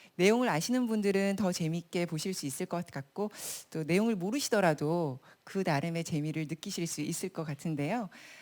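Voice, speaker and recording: A woman with an unremarkable speaking voice talks fairly quickly at a fairly low pitch, with ordinary pitch variation, on a very clean recording with a silent background. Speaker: broadcast announcer, event host. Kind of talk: live event hosting, welcoming the audience. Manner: clear, polished, conversational.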